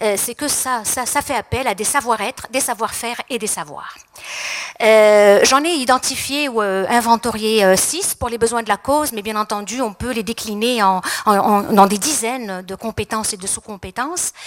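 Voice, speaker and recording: This woman has a fairly high pitch that varies in an ordinary way. Her pace is moderate. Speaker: psychologist and speaker. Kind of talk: conference talk. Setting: stage with audience. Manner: hesitant, many fillers.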